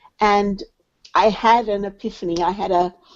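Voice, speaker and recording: This woman has a British accent. Her pitch varies in an ordinary way. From England. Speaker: charity development director. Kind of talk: interview.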